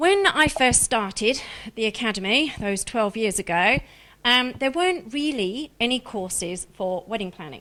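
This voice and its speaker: Woman with a slight Australian accent, fairly high pitch, a bright, sharp tone and lively intonation at a moderate pace, on a very clean recording with a silent background. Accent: slight Australian twang. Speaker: director of a wedding planning school. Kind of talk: live stream presentation. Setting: live stream.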